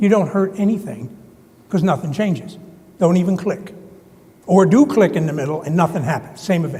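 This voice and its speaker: A man with a high pitch and ordinary pitch variation talks at a fairly quick pace, broken by long, frequent pauses. Room echo is audible, and there is noticeable background noise. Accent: New Jersey. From US Northeast, New Jersey. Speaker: conference presenter. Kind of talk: conference presentation.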